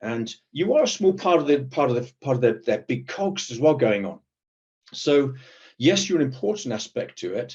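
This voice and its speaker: Somewhat breathy, a man with a British accent speaks at a moderate pace and a fairly high pitch with lively intonation. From Britain. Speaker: protective security professional. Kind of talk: panel discussion. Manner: hesitant, many repetitions.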